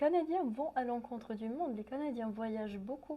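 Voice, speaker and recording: Noticeable background noise sits behind a woman with a high voice. Her intonation is lively. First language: English (speaking French). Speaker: translation student and musician. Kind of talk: interview. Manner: halting.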